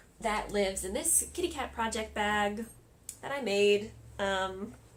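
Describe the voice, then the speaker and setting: This woman speaks at a medium pitch, with ordinary pitch variation. The room gives off an audible echo. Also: fairly slow pace. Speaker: crafting podcaster. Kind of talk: casual podcast monologue.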